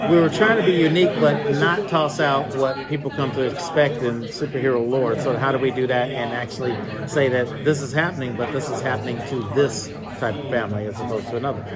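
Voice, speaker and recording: Over crowd noise and audible room echo, a man with an American accent speaks very fast at a medium pitch with ordinary pitch variation. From US Midwest, Chicago. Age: 60s. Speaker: film and television composer. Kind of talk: panel interview. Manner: halting, many fillers.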